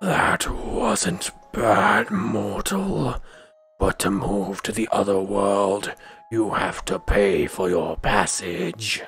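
In a raspy, put-on character voice, the speaker drags along at a very slow pace with monotone, flat intonation. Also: man, fairly low pitch for a man. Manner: stern, demanding payment.

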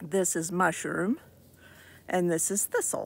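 The woman's voice shows ordinary pitch variation and is recorded dry, with no echo. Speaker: crochet vlogger. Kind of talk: casual vlog chat. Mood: cheerful, laughing. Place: open country. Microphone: phone near.

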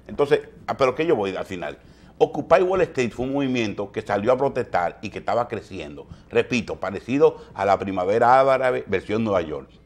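A man's vocal fry at a fairly quick pace, with very wide pitch swings and big swings in loudness. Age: 50s. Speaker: TV news host. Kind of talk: morning news commentary. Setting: TV studio. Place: studio.

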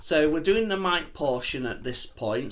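A man talks at a moderate pace. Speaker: product reviewer. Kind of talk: casual vlog chat. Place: home room. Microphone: handheld.

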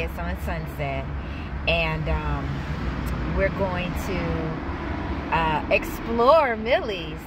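Loud background noise sits behind a woman whose voice sounds dry, with no echo. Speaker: food vlogger. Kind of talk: casual vlog chat. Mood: upbeat, chatty. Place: car. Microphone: phone near.

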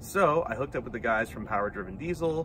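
A man speaks with lively intonation in a dry sound with no echo, while noticeable background noise runs underneath. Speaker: car show host. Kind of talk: casual vlog chat. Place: street. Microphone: phone near.

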